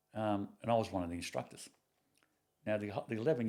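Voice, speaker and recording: With an Australian accent, a man talks at a fairly quick pace in a fairly low pitch, with ordinary pitch variation and a dark, mellow tone. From Sydney, Australia. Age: 60s. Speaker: retired police officer and hunter. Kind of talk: casual chat. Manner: halting.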